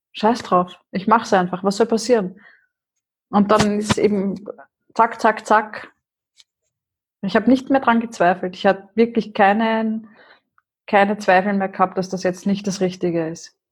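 With a somewhat breathy voice of medium pitch, a woman speaks at a fairly slow pace, using fairly even intonation and long, frequent pauses. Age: 40s. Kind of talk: casual interview.

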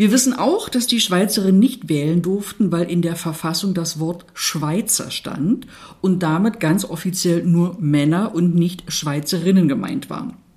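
A somewhat breathy woman speaks at a fairly slow pace with ordinary pitch variation and hardly any pauses. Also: fairly low pitch for a woman. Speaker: podcast co-host, municipal equality officer. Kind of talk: scripted conversation on women's voting rights.

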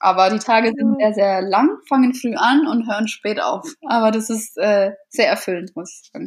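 A woman speaks in a fairly high, somewhat breathy voice. She keeps a moderate pace. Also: ordinary pitch variation. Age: 20s. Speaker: florist and set designer. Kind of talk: interview.

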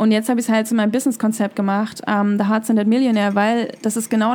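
With a fairly high pitch, a woman speaks in a monotone, flat intonation. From East Germany (former GDR). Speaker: business coach. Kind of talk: interview.

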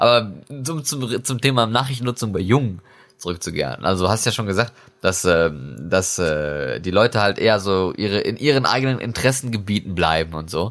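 A man's fairly low-pitched voice, a normal speaking voice, with lively intonation. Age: 20s. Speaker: podcast host. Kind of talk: casual chat.

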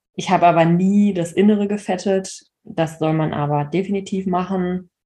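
Against a quiet background, a somewhat breathy voice with a dark, mellow tone keeps its intonation fairly even. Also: woman. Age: 30s. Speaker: horse owner and social media creator. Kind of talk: personal story in interview.

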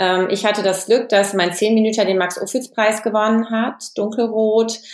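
At a moderate pace, a woman talks with fairly even intonation over noticeable background noise. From western Germany (Hesse and Lower Rhine). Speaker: film and TV director. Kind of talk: interview.

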